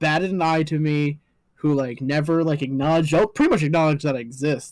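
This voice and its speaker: In a very clean recording with a silent background, a man with a Canadian accent talks at a fairly quick pace and fairly high pitch in an unremarkable speaking voice. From Canada. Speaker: pro wrestler. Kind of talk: casual chat.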